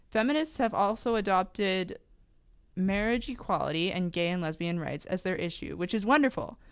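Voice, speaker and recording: A woman's voice, an ordinary speaking voice, at a moderate pace with lively intonation, in a very clean recording with a silent background. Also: medium pitch for a woman. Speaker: podcast host. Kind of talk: casual chat.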